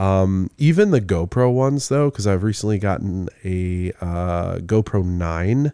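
The voice has a dark, mellow tone and a Michigan accent, moving at a fairly slow pace. The recording is very clean with a silent background and a dry, close sound with no echo. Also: man, very deep, low pitch for a man, ordinary pitch variation, hardly any pauses. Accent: Michigan general American. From Midland, Michigan. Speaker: podcast co-host. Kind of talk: casual chat.

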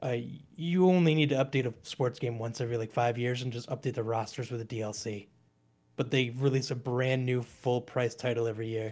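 A man's medium-pitched voice, fairly quick and fairly even in intonation. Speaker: video game YouTuber. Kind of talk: casual chat.

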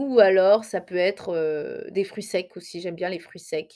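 A woman's medium-pitched voice, dark and mellow in tone, with lively intonation on a very clean recording with a silent background. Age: 20s. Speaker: hair care podcaster. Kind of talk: solo podcast monologue. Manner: hesitant with many fillers.

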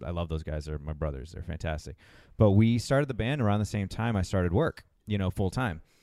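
In a New England accent, a man speaks at a very fast pace with lively intonation and a very deep, low pitch. His tone is dark and mellow, on a very clean recording with a silent background. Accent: New England American. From Massachusetts, US. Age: 30s. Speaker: traveler and musician. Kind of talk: casual chat. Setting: restaurant.

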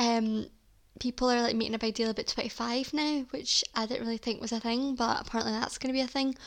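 A woman in a Scottish accent, high-pitched, fairly quick, with monotone, flat intonation. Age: 20s. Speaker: podcast host. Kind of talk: casual solo chat.

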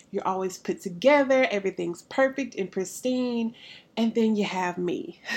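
Speaking with a Southern US accent, a woman uses a fairly high, animated voice with lively intonation at a moderate pace, on a very clean recording with a silent background. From US South, Alabama. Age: 30s. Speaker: podcast host, counselor and pastor. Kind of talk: casual monologue.

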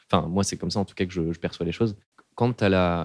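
Very fast male speech, dry and close with no echo, on a very clean recording with a silent background. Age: 20s. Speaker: engineer sharing depression story. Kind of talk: testimony. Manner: casual, hesitant with fillers.

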